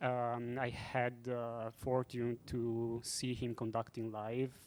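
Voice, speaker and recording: In an Italian accent, a man speaks at medium pitch. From Italy. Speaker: film composer. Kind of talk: panel discussion. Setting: stage with audience.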